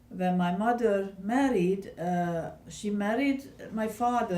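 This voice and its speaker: A woman's somewhat breathy voice with a Hungarian accent and a dark, mellow tone, plus audible room echo. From Hungary, Budapest. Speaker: Holocaust survivor. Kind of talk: oral history interview. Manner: halting.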